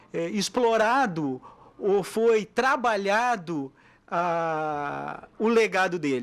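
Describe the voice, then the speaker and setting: The recording is very clean with a silent background. A man speaks with lively intonation. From southern Brazil (Tapes, Rio Grande do Sul). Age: 60s. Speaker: mayoral candidate. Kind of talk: radio interview. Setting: radio studio.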